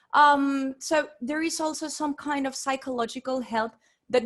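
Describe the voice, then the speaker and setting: A woman with a Spanish accent speaks at a moderate pace in a high pitch with ordinary pitch variation, in a very clean recording with a silent background. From Venezuela. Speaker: interpreter and researcher. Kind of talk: academic presentation. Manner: halting, many fillers and repetitions.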